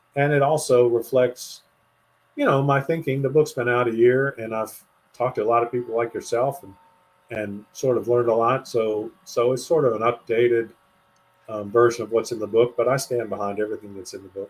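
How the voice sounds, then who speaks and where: With a plain, everyday voice at medium pitch, a man talks fairly quickly with fairly even intonation and big swings in loudness. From US, western Pennsylvania. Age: 60s. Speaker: author. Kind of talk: interview conversation.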